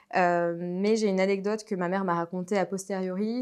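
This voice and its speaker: Intonation stays fairly even at a moderate pace over a quiet background. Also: woman. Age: 20s. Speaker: patient sharing testimony. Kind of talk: testimony. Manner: hesitant, many fillers.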